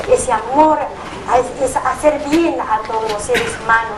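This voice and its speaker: Audible room echo surrounds a woman speaking at a fairly slow pace. Noticeable background noise is present. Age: 60s. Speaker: nurse. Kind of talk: testimony.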